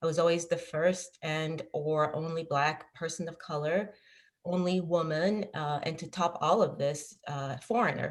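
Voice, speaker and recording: A woman's very deep, low voice carries fairly even intonation. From Ghana, raised in Paris, France. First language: French. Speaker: business leader, panelist. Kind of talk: panel discussion.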